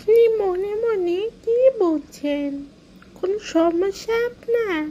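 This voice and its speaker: The speaker uses a cartoonish character voice at an extremely high pitch. The pace is fairly slow. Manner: exasperated, complaining.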